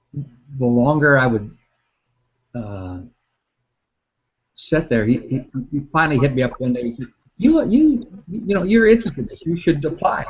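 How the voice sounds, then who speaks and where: Very wide pitch swings, a somewhat breathy quality, and a moderate pace. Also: man. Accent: American. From Northwest Iowa, US Midwest. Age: 60s. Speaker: meteorologist. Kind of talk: interview. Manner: halting.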